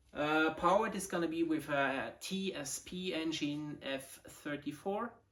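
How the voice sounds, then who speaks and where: A man with a Swiss German accent speaks at a very slow pace. His pitch sits fairly high. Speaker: model rocket hobbyist. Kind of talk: casual video intro. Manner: halting, many fillers.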